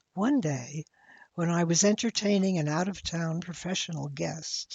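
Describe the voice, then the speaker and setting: Somewhat breathy and fairly low in pitch, a woman speaks at a fairly slow pace with ordinary pitch variation. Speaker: elder sharing life reflections. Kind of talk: personal essay narration.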